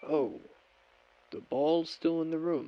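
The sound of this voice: A man uses a put-on character voice, fairly high and touched with vocal fry, with lively intonation. He talks slowly, and the sound is dry and close with no echo.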